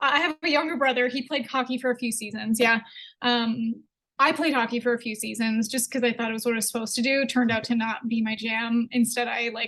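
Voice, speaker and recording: Talking at a very fast pace, a woman with a slight Canadian accent has a fairly high pitch, a bright, sharp tone and fairly even intonation. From Canada, Edmonton. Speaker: entrepreneur. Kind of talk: casual interview.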